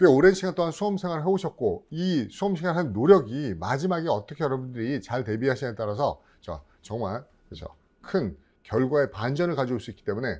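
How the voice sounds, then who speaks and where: A man's voice at a fairly quick pace, with very wide pitch swings against a quiet background. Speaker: exam prep instructor. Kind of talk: lecture. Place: studio. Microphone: lapel.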